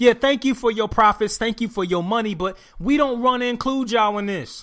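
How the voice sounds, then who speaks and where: A high-pitched man speaks at a fairly quick pace in a raised, projected voice with an animated tone. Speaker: podcast host. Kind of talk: solo podcast commentary.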